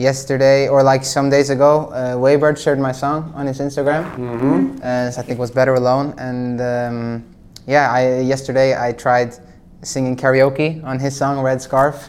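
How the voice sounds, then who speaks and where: A man with a Norwegian accent speaks in a monotone, flat intonation. His medium pitch moves at a moderate pace. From Norway. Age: 20s. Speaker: singer-songwriter. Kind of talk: casual chat.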